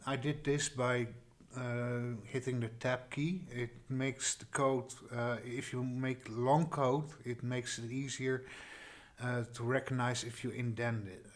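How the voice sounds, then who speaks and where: A man with a slight Dutch accent speaks at medium pitch and a fairly slow pace. His intonation is monotone and flat. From Netherlands. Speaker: tutorial creator. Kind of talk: tutorial. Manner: halting, many fillers and restarts.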